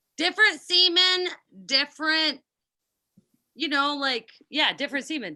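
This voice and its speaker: A woman speaks in a raised, projected voice at a moderate pace. Her high pitch has a bright, sharp tone. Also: ordinary pitch variation. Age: 30s. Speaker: yacht crew cook and comedian. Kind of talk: casual chat.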